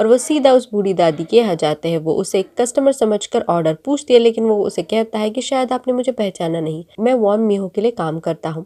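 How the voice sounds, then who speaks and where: A woman with a fairly high pitch and a dark, mellow tone talks at a moderate pace with lively intonation. The sound is dry and close, with no echo. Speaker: YouTube drama recap narrator. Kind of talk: plot recap narration.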